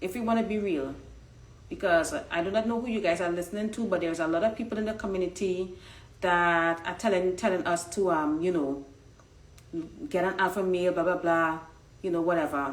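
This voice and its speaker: A woman at medium pitch speaks in an animated tone at a fairly quick pace with ordinary pitch variation and long, frequent pauses, and audible room echo surrounds her voice. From Trinidad. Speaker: online dating coach. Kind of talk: casual live-stream commentary. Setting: Instagram live stream.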